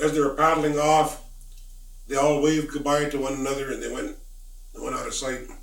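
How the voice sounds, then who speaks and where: Noticeable background noise sits under this American-accented voice. The pace is fairly quick and the intonation fairly even. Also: man. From Lummi Nation, Washington State. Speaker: Lummi spiritual elder and storyteller. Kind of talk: traditional oral storytelling.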